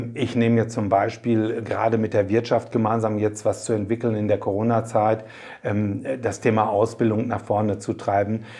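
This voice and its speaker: The monotone, flat intonation stays the same throughout speech at a moderate pace. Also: man. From Germany, Paderborn area (East Westphalia). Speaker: mayor and district administrator candidate. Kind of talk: interview.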